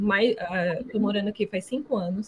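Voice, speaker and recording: In a strong Brazilian accent, a woman speaks at a moderate pace with a fairly high, somewhat breathy voice. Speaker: alumna, environmental professional. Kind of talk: online talk to students. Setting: video call.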